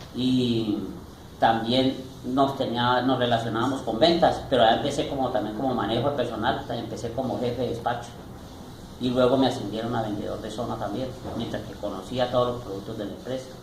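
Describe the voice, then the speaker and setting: Amid noticeable background noise and audible room echo, a man talks at a fairly quick pace and medium pitch with fairly even intonation. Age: 60s. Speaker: retired salesman and store manager. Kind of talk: interview.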